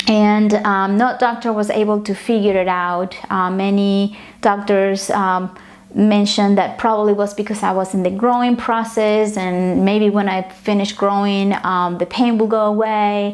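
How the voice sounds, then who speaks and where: A woman with a Spanish accent talks at a fairly slow pace and a medium pitch. Her intonation is monotone and flat, her loudness very even. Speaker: yoga and meditation teacher. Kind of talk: tutorial. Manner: hesitant, many fillers.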